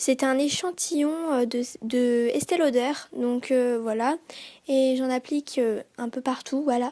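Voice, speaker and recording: A woman with a high-pitched voice is heard in a dry, close recording with no echo. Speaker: beauty youtuber. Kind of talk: makeup tutorial. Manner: hesitant, many fillers.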